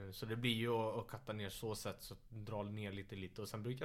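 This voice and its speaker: Flat, monotone intonation carries this man's fairly low-pitched voice. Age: 20s. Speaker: MMA fighter. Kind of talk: casual chat. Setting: living room, shared mic.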